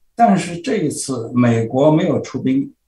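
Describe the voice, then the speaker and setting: A man's somewhat breathy voice with a dark, mellow tone carries audible room echo. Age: 80s. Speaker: political blogger and commentator; political blogger, commentator. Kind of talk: interview. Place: home room. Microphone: webcam.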